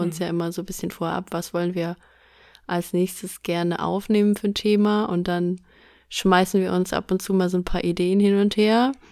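A plain, everyday voice at a moderate pace with fairly even intonation, in a very clean recording over a silent background. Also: woman. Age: 30s. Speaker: podcast host. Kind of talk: casual chat.

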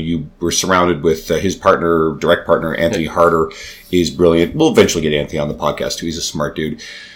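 Over noticeable background noise, a man speaks very fast in a very deep, low pitch. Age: 40s. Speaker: podcast host and fitness coach. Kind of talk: casual chat.

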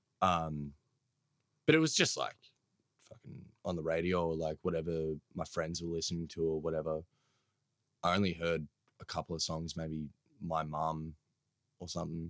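A man with an Australian accent speaks at a moderate pace with a very deep, low pitch. His intonation is flat and monotone, broken by long, frequent pauses. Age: 20s. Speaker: hip hop artist and producer. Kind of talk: casual chat.

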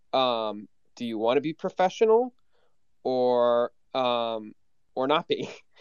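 A man at medium pitch speaks at a very slow pace. He uses long, frequent pauses and ordinary pitch variation. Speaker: NFT artist. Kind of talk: casual chat. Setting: Twitter space audio room.

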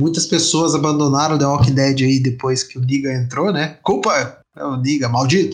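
A man's fairly high voice, somewhat breathy, at a moderate pace with fairly even intonation, big swings in loudness and hardly any pauses. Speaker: podcast host. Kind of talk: casual chat.

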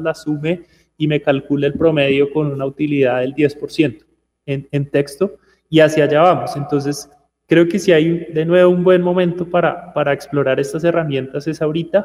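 Intonation holds fairly even here. The man keeps a moderate pace. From Bogotá, Colombia. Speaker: tech education entrepreneur. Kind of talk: radio interview.

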